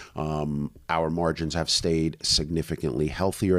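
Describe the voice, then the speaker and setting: The recording is very clean against a silent background. A man's very deep, low voice keeps a fairly even intonation. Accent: New York. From US Northeast (Brooklyn, New York). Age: 40s. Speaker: online business owner. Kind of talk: podcast interview. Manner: casual.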